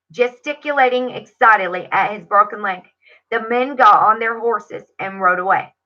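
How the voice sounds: Over a quiet background, a natural reading voice is heard.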